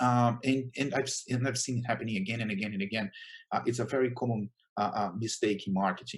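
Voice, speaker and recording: A somewhat breathy male voice with a Brazilian Portuguese accent. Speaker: chief marketing officer. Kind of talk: conference talk. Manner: hesitant, many fillers.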